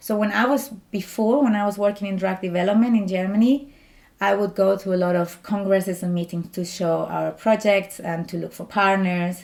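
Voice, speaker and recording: A woman with a strong Spanish accent speaks with fairly even intonation. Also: medium pitch for a woman, moderate pace. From Spain. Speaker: doctoral student, scientist. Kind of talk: interview.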